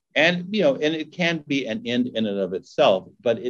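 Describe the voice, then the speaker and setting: A man talks at a moderate pace with an American accent. His pitch swings very widely. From Los Angeles, California. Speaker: nonprofit executive. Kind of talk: fireside chat interview.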